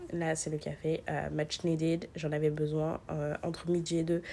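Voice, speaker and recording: A woman speaks at a moderate pace. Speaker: vlogger, business lawyer. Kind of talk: casual vlog narration with sponsored pitch. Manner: hesitant, many fillers.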